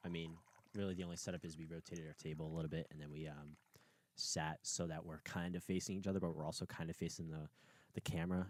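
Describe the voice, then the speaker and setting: A man talking at a very fast pace. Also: dry, close sound with no echo. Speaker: podcast co-host. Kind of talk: casual chat.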